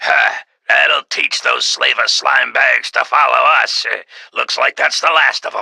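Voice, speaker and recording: This put-on character voice is raspy and extremely high. It moves at a fairly slow pace. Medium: audio drama. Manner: gruff, wisecracking.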